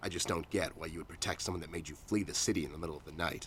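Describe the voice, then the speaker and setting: In a put-on character voice, a man growls at a very fast pace with a gruff, very deep, low pitch over clear background noise. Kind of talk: noir detective drama. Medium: video game. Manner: gruff, terse, hard-boiled.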